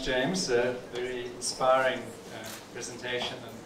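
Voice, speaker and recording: Noticeable background noise around a man's speech. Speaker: company executive and speaker. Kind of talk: celebration speech. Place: office.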